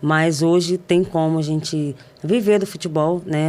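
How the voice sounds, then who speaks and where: A woman speaks at a moderate pace with fairly even intonation and a fairly low pitch. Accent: Rio de Janeiro. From Brazil, São Gonçalo (Rio de Janeiro state). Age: 30s. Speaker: professional footballer. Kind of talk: interview. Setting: studio.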